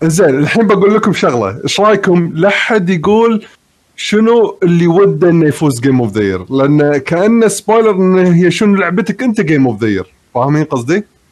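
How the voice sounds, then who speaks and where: This man speaks at a high pitch. His loudness stays very even. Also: lively intonation, moderate pace. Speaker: gamer panelist. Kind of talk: casual chat. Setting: online call, live stream.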